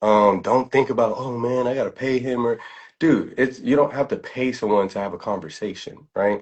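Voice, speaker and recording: This speaker talks at a moderate pace with a New York accent and ordinary pitch variation. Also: man, medium pitch for a man. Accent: New York accent, Bronx. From New York City, the Bronx. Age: 30s. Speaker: trader. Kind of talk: casual chat. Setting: livestream. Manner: frequent filler words.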